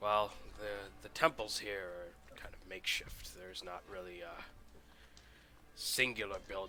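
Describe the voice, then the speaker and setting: Over clear background noise, a man uses a raspy, put-on character voice, speaking at a fairly slow pace and a fairly low pitch. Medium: actual play. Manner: blunt, salty, casual.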